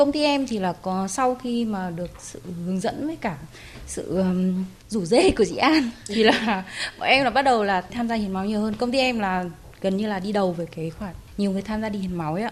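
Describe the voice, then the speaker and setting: A woman talks at a fairly quick pace in a normal speaking voice. Her pitch is medium. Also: lively intonation. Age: 40s. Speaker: blood donor. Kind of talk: radio interview testimony.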